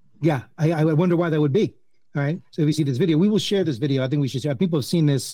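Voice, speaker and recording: A man's very fast, somewhat breathy voice with a dark, mellow tone, fairly high pitch, ordinary pitch variation and a New Jersey accent. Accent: New Jersey American. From US, New Jersey. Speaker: fantasy baseball podcast host. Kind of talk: casual chat.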